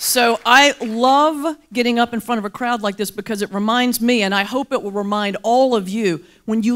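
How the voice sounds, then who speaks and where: With an American accent, a woman is talking. Her tempo is moderate and her pitch shifts in a usual way. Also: very clean recording, silent background. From US South, mountains of North Carolina. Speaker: Baptist minister and motivational speaker. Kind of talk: keynote speech with humor. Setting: luncheon stage with audience. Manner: animated.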